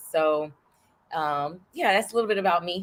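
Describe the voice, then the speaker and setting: In a Southern accent, a woman speaks at a fairly low pitch with a bright, sharp tone. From New York City, Harlem. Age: 40s. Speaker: political candidate. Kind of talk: interview.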